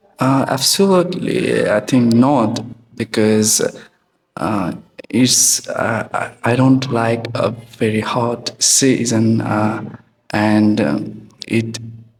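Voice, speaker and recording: With a Nepali accent, a man speaks at a very slow pace. His pitch is medium with ordinary variation. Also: long, frequent pauses. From Nepal, Morang district. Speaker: test candidate. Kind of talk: exam interview. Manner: hesitant.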